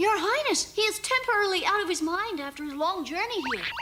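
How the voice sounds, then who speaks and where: An extremely high-pitched cartoonish character voice rattles along at a very fast pace over clear background noise. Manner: polite, soothing.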